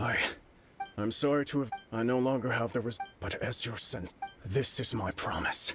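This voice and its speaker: A man speaks in a put-on character voice at medium pitch and a moderate pace, with long, frequent pauses. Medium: video game.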